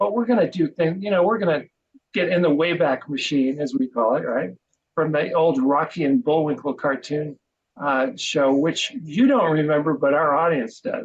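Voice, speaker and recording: A man with an ordinary speaking voice, fairly high in pitch, lively in intonation, at a moderate pace. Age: 60s. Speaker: podcast co-host and marketing business owner. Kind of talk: interview.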